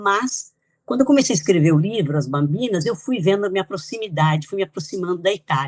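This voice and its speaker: At a fairly quick pace, a woman uses a normal speaking voice at medium pitch with lively intonation. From Brazil, São Paulo (born in Italy, moved at 2). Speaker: author and geographer. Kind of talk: interview.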